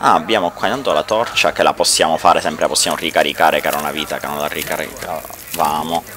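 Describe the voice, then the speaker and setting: Against noticeable background noise, a man talks at a very fast pace with hardly any pauses. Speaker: gaming YouTuber. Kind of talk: let's play commentary. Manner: casual and chatty. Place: home room. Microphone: headset.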